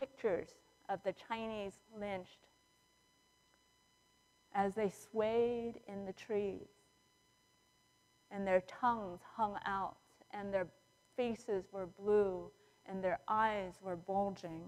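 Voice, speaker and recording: A woman talks at a very slow pace with fairly even intonation. Long, frequent pauses break up her speech. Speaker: preacher. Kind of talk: sermon. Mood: somber, reflective. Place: church.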